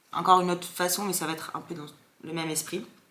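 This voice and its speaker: Audible room echo colors this woman's voice. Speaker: content creator. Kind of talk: casual vlog chat. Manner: fast; animated.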